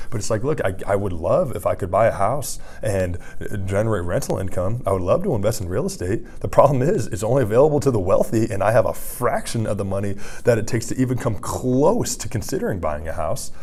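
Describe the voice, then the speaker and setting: A man's animated, very fast delivery amid audible room echo and noticeable background noise. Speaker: vlogger. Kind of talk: casual vlog monologue.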